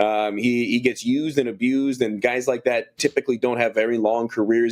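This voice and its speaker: At a fairly quick pace, a man with an unremarkable speaking voice at a medium pitch uses fairly even intonation on a very clean recording with a silent background. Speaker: college sports radio play-by-play announcer. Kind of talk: interview answer.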